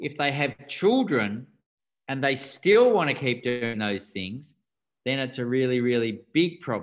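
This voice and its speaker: With an Australian accent, a man speaks at a medium pitch and a fairly slow pace. His intonation is lively. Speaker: doctor and rites of passage teacher. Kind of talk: interview.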